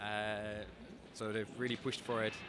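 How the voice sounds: With a fairly bright tone and fairly low pitch, this man speaks with little pitch movement.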